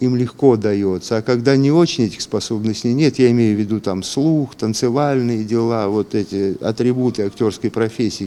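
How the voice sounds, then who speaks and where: A man talks at a moderate pace in a dark, mellow tone at a medium pitch with ordinary pitch variation. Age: 60s. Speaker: radio and TV journalist, former announcer, library worker. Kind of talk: interview answer, reflective talk about his acting and career. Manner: conversational, ironic, self-deprecating.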